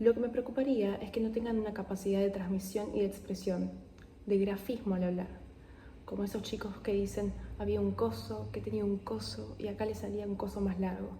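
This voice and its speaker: A soft-spoken woman at a fairly quick pace, with audible room echo and noticeable background noise. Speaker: ASMR creator. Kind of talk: reading aloud.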